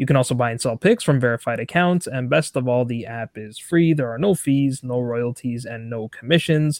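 A man's unremarkable speaking voice, medium-pitched, at a moderate pace with hardly any pauses, ordinary pitch variation and big swings in loudness, in a very clean, dry, close recording with a silent background and no echo. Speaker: football podcast host. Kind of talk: casual interview.

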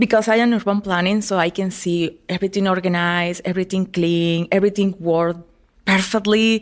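This woman speaks with a Spanish accent at a medium pitch and a fairly quick pace. Her delivery is monotone and flat, in a very clean recording with a silent background. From Venezuela (El Vigía). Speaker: hiking club founder. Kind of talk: interview.

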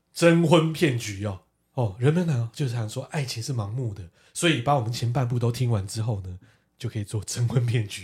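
A man speaks at a fairly quick pace with medium pitch, ordinary pitch variation and a somewhat breathy sound. The recording is very clean, with a silent background. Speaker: podcast co-host. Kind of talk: casual chat. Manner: animated.

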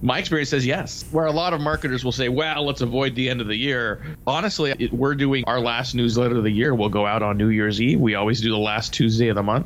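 Noticeable background noise runs behind a man's voice. He speaks very fast, with ordinary pitch variation. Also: medium pitch for a man. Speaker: sales radio show host. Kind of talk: casual chat. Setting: his office.

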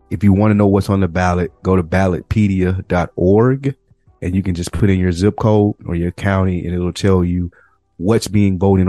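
A man with a very deep, low pitch speaks at a moderate pace in a monotone, flat intonation. Music plays in the background, and the sound is dry and close with no echo. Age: 30s. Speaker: podcast co-host. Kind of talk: casual chat.

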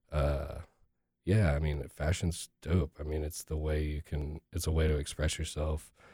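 A man with an American accent speaks at a fairly slow pace in a very deep, low voice, his intonation monotone and flat, his tone dark and mellow, somewhat breathy, in a dry, close recording with no echo. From Texas. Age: 30s. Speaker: hip hop artist. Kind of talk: casual interview.

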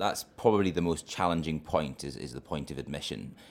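A man's fairly quick speech with vocal fry. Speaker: trainee family doctor. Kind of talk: interview.

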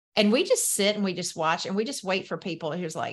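Against a quiet background, a woman with a Southern US accent talks at a fairly quick pace with ordinary pitch variation. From US South. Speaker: entrepreneur and business coach. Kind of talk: casual interview chat.

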